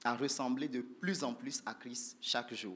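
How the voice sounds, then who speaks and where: Speech from a man comes at a very slow pace. His pitch is fairly high with ordinary variation. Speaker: church group leader teaching. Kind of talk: church teaching talk. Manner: soft-spoken, slow.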